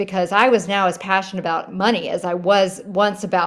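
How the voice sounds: Just a natural reading voice.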